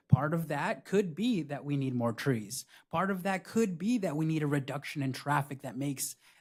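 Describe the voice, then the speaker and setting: In a very clean recording with a silent background, a man with a fairly high pitch sounds somewhat breathy and uses lively intonation. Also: moderate pace. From Buena Park, Southern California. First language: Spanish. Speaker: city council candidate. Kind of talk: candidate forum answers. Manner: occasional hesitations and restarts.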